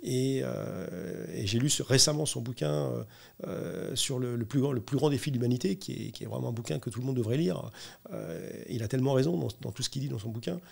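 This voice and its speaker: A man speaks at a medium pitch with lively intonation. Vocal fry runs through his voice. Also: fairly quick pace. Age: 60s. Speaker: corporate sustainability director. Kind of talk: interview. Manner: hesitant, many fillers.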